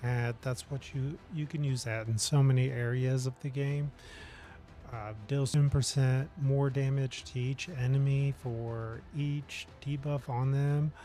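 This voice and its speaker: A man talks at a medium pitch in a somewhat breathy voice. His pace is fairly slow and his intonation fairly even. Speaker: gaming streamer. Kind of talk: live game stream commentary. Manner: hesitant, many fillers. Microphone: audio adjustment issues.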